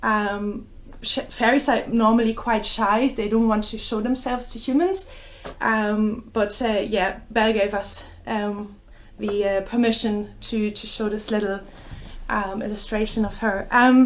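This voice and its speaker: The delivery is fairly slow, with fairly even intonation and a German accent. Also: woman. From Germany. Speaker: children's bookshop owner, storyteller. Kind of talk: story time reading for children. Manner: hesitant, many fillers.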